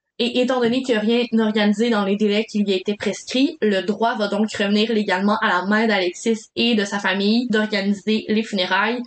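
Her pitch runs fairly high as a woman speaks at a moderate pace with hardly any pauses. The intonation is monotone and flat. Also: very even loudness. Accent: Quebec. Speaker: podcast co-host. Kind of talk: storytelling from a script.

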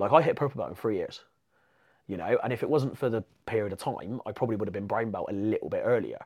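Someone with an English accent speaks at a very fast pace. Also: man. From England. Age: 30s. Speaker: jiu-jitsu competitor. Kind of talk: casual chat.

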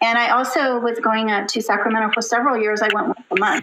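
A woman speaks in an unremarkable speaking voice with an American accent, her fairly high pitch carried on a fairly even intonation. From Southern California. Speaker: special education teacher and children's author. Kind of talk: interview.

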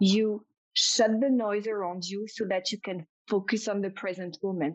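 A woman speaks at a moderate pace with a French accent, her pitch fairly high. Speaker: intuitive business coach. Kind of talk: interview conversation. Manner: enthusiastic, animated.

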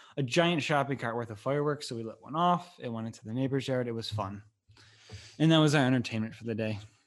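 Over a quiet background, a man speaks in a normal speaking voice with ordinary pitch variation. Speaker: podcast host. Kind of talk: casual chat interview at home. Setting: recorded at home.

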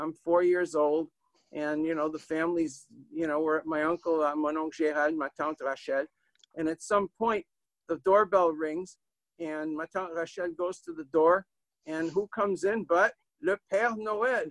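A man's high-pitched voice with a New England accent, moderate pace and fairly even intonation, in a dry, close sound with no echo. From Manchester, New Hampshire. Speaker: author and storyteller. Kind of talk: storytelling.

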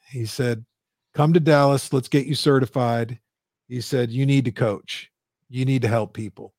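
This man has an unremarkable speaking voice at medium pitch, with fairly even intonation and a moderate pace. The sound is dry and close, with no echo. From Canada, Windsor, Ontario. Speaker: business coach. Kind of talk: interview. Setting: live stream.

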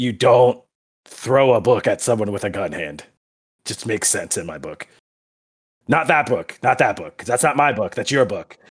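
In a raspy, put-on character voice, a man speaks at a medium pitch and moderate pace, with big swings in loudness and long, frequent pauses. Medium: actual play. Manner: gruff, crude, short-tempered.

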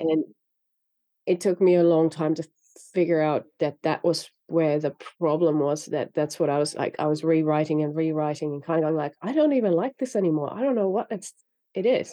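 The speaker talks at a fairly quick pace in a Finnish accent. Pitch variation is ordinary. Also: woman, very deep, low pitch for a woman. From Finland. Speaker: novelist. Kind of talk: interview.

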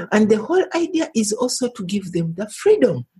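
A woman's somewhat breathy, fairly high voice swings very widely in pitch. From Uganda. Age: 60s. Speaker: women's human rights activist. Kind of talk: interview.

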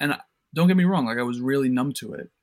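Medium-pitched male speech with an American accent, a plain, everyday voice and ordinary pitch variation. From New York City. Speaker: entrepreneur, company CEO. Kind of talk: interview, casual chat.

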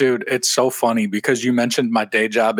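Here a man has an ordinary speaking voice at medium pitch, moving at a fairly quick pace with ordinary pitch variation in a dry, close sound with no echo. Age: 30s. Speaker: podcast host. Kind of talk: casual chat.

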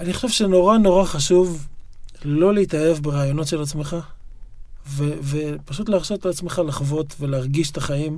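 A fairly high-pitched male voice at a moderate pace, with ordinary pitch variation. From Israel, Yokneam. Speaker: writer and poet. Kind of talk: interview conversation. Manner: halting, frequent repetitions and fillers.

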